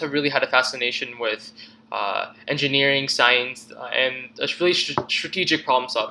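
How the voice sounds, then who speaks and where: A man's fairly high pitch with ordinary variation and a bright, sharp tone. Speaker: university student. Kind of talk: self-presentation assignment video. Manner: fast; halting, many fillers and restarts.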